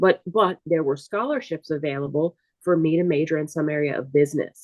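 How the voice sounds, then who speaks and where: In a New Orleans accent, a woman talks at a very deep, low pitch. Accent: New Orleans Southern US. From US South, New Orleans, Louisiana. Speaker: artist and entrepreneur. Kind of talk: interview.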